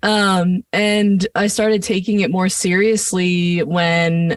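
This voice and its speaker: A woman with an American accent speaks in a normal speaking voice at medium pitch with ordinary pitch variation, in a dry, close sound with no echo. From New Jersey, US (Point Pleasant, Jersey Shore). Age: 20s. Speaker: singer-songwriter. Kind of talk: casual interview chat. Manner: casual, filler-heavy.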